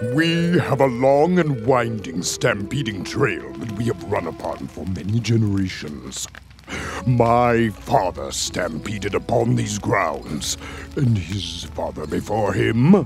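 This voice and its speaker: Over clear background music, a man does a cartoonish character voice at medium pitch and a fairly slow pace. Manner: slow, ceremonious.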